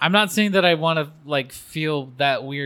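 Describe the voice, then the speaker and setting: In a West Coast accent, a man talks with lively intonation and a bright, sharp tone. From Oregon, US (Albany). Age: 40s. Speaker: podcast guest. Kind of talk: casual chat. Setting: church restroom.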